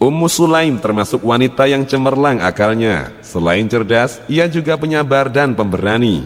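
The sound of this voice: Someone reads in an unforced voice.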